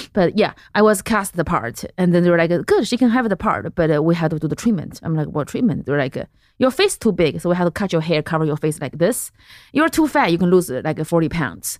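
Rushing at a very fast pace, a woman talks with lively intonation. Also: fairly low pitch for a woman, very clean recording, silent background. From central China. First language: Mandarin Chinese. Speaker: comedian. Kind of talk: casual chat.

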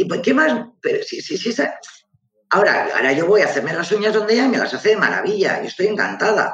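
At a very fast pace, a man speaks with a high pitch and lively intonation. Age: 50s. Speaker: real estate agency co-manager. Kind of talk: casual live interview. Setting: live online video stream.

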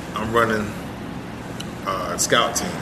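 With noticeable background noise and audible room echo around him, a man talks at a moderate pace. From South Florida (Fort Myers, Miami). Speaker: former pro football player. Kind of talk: casual interview chat.

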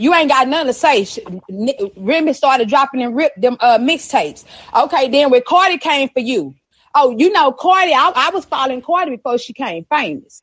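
A woman's high-pitched, animated delivery in a Texan accent, at a fairly quick pace with lively intonation. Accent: Texan, noticeable. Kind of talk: casual chat. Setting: live stream with chat.

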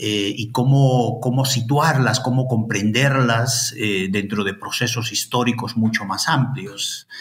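A man speaks at a very slow pace with hardly any pauses and fairly even intonation, over noticeable background noise. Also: medium pitch for a man. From Peru, Ayacucho. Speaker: historian and anthropologist, professor. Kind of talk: interview. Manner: halting, many fillers and repetitions.

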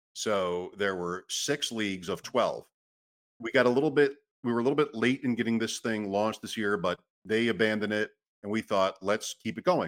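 With a normal speaking voice, a man holds a medium pitch and shows ordinary pitch variation. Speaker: podcast host. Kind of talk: casual chat.

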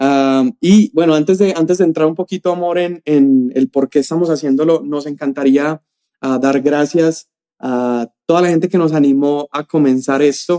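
The speaker has an ordinary speaking voice with ordinary pitch variation. The pace is moderate. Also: man, fairly high pitch for a man. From Colombia, Medellín. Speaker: youth pastor, podcast co-host. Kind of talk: casual chat; sermon-like teaching.

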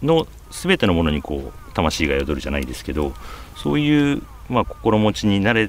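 A man with a fairly low voice speaks at a moderate pace, his pitch swinging very widely. His loudness rises and falls sharply, and there is noticeable background noise. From Japan, Aichi (Nagoya suburbs). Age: 50s. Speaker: magazine editor-in-chief. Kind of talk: interview.

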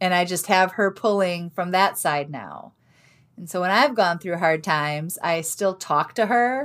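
A woman speaks at a fairly slow pace with medium pitch and ordinary pitch variation, an unremarkable speaking voice. The recording is very clean, with a silent background. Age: 40s. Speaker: author and life coach. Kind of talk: interview.

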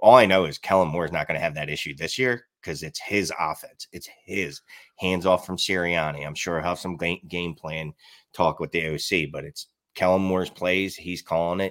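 A man's very deep, low voice in a strong Philadelphia accent, at a moderate pace, with ordinary pitch variation, big swings in loudness and a dry, close sound with no echo. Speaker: fantasy football analyst and podcaster. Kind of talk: casual chat about fantasy football. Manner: filler words, um-heavy.

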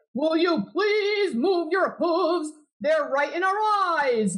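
Extremely high in pitch, this is a put-on character voice. It moves at a fairly slow pace. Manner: annoyed, complaining.

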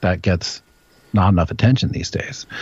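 Somewhat breathy, a man with an American accent talks with ordinary pitch variation. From Washington, D.C. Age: 40s. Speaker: independent journalist. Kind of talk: casual chat.

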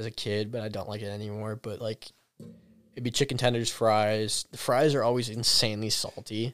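Monotone, flat intonation at a fairly quick pace. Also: man, medium pitch for a man. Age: 20s. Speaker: podcast guest, college student. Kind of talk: casual chat.

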